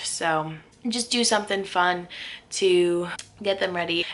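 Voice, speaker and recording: A woman at a medium pitch, speaking very slowly with fairly even intonation. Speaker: teacher vlogger. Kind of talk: casual vlog monologue.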